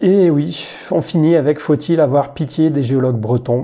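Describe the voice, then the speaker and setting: The man's tone is dark and mellow, and his pitch moves in an ordinary way. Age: 30s. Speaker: science YouTuber. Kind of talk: Q&A video monologue. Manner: hesitant with fillers.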